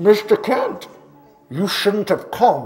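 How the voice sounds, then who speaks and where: A fairly high pitch marks this put-on character voice. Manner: menacing, gravelly.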